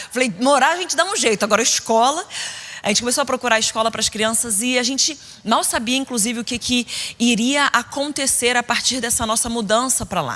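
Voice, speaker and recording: A woman talks at a high pitch and a fairly quick pace in an animated tone. Her pitch varies in an ordinary way. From Brazil, Rio de Janeiro state (Niterói). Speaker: preacher. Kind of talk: sermon.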